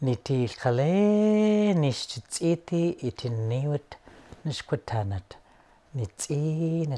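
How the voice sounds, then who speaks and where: Speaking very slowly, a man uses a fairly high pitch and a dark, mellow tone. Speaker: storyteller. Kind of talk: traditional storytelling. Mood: calm, warm, gentle. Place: home room. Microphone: lapel.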